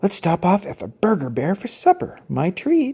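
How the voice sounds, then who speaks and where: The voice is a put-on character voice at a middle pitch. It moves at a moderate pace. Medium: read story.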